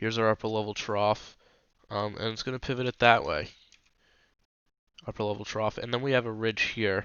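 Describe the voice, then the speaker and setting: This man speaks at a fairly quick pace and a medium pitch. His intonation is monotone and flat. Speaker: weather channel host. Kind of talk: tutorial. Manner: casual, hesitant with fillers.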